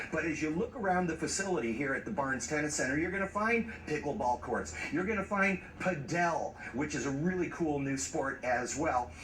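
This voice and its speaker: Noticeable background noise sits behind a man who speaks with hardly any pauses, very even loudness and lively intonation. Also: fairly high pitch for a man, moderate pace. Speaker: TV news reporter. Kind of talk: TV news report. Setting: outdoors at tennis center.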